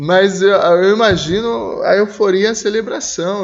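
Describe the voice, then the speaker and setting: The voice belongs to a man with a high pitch. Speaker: Sunday school Bible teacher. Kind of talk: Bible school lesson discussion. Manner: slow, emotional delivery.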